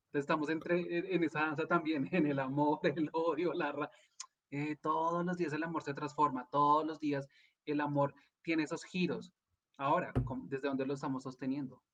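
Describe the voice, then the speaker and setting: Here is a man with a normal speaking voice, fairly high in pitch. He keeps his intonation fairly even. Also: moderate pace. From Colombia. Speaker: life coach and energy therapist. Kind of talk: casual interview chat.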